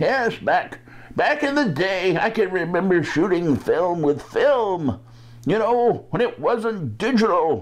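At a fairly slow pace, the speaker performs a put-on character voice at a middle pitch. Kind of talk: casual tech news commentary. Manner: reminiscing about the old days. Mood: nostalgic, relaxed.

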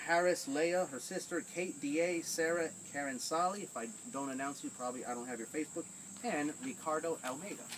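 Moderate-paced speech from a man, light background noise behind him. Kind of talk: casual list of call-outs. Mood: light, joking. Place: garden. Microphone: camera far.

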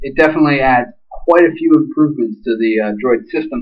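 A man at a fairly quick pace with ordinary pitch variation, over a quiet background. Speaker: phone hobbyist reviewer. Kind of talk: casual review talk. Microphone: webcam.

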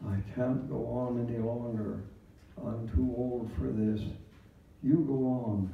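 Somewhat breathy, a man speaks at a very slow pace with ordinary pitch variation. Audible room echo fills the recording. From Canada. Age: 90s. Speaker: retired clergyman. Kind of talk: Remembrance Day address. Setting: church service. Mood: solemn, measured storytelling. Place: hall.

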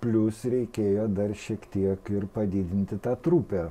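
Dark and mellow in tone, a man's voice sits at a fairly low pitch. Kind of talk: interview answer. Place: studio. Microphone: lapel.

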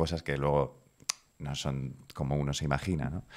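The background is quiet as a man speaks. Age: 30s. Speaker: video producer; podcast guest. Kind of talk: interview. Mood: reflective, personal story. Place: home room. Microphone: studio mic.

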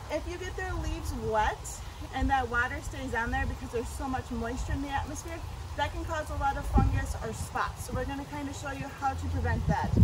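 Loud background noise surrounds a woman who talks at a fairly quick pace. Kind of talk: tutorial. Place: garden. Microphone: camera far.

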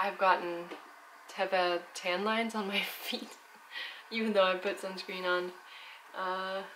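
With light background noise, a woman talks at a fairly slow pace using fairly even intonation. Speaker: travel vlogger. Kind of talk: casual vlog chat. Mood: relaxed, calm. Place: home room.

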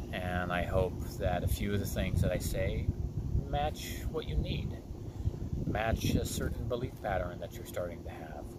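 A man talks at a fairly slow pace. Loud background noise fills the dry recording, which has no echo. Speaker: wellness coach. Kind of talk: channel intro monologue. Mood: calm, earnest. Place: waterside. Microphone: phone near.

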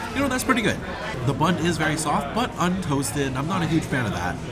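A man speaks at a very fast pace. Loud background noise runs behind him. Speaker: food reviewer. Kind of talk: food review commentary. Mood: upbeat, enthusiastic. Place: hall. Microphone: phone near.

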